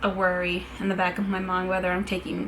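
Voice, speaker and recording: A woman with an American accent at a moderate pace, with audible room echo and music in the background. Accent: American accent noticed by people abroad. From New York City, Brooklyn and Staten Island. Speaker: travel blogger. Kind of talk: casual vlog talk. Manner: casual, filler-heavy.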